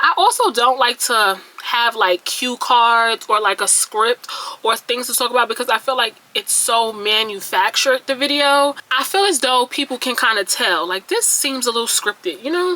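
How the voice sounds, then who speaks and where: With a high pitch and lively intonation, a woman talks at a moderate pace in a dry, close sound with no echo, though noticeable background noise comes through. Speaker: beauty vlogger. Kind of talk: casual vlog monologue. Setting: talking to camera at home. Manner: stuttering; chatty, rambling delivery.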